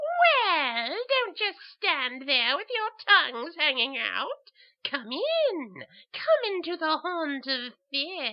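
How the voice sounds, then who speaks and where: At a very slow pace, someone speaks in a put-on character voice. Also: female-sounding voice, extremely high pitch for a woman. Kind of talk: dubbed comic narration.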